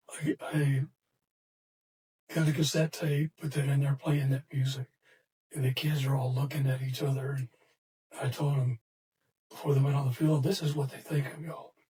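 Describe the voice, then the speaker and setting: A man with a fairly high pitch and a dark, mellow tone speaks somewhat breathily in a monotone, flat intonation at a moderate pace. Long, frequent pauses break up his speech, and the sound is dry and close with no echo. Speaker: retired football coach and sports hall of famer. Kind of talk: casual interview. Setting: podcast studio. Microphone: too far from the mic.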